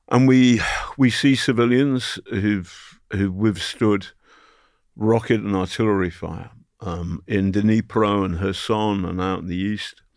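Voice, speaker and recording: Very slow speech in a British accent, with ordinary pitch variation. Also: man, fairly low pitch for a man. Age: 60s. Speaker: journalist. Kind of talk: interview. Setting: studio. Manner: animated.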